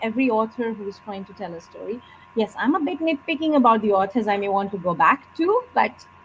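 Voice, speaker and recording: A woman's fairly high, fairly quick voice with a Bengali accent, lively intonation and big swings in loudness over noticeable background noise. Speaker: author. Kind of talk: interview.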